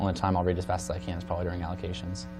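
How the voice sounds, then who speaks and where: A man with an American accent and a very deep, low pitch, at a very fast pace with ordinary pitch variation, amid audible room echo and music in the background. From western Nebraska (Imperial). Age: 20s. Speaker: student government candidate. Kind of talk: interview. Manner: fast talker.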